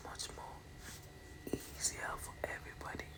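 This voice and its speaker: A woman whispers. Background noise is noticeable. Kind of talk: casual talk to camera recounting a pageant experience.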